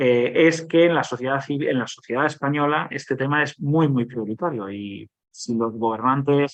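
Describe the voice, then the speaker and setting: His delivery is neither fast nor slow. The man's pitch shifts in a typical manner. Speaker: government agency director. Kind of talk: conference Q&A answer. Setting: conference panel with audience. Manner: halting, many repetitions and fillers.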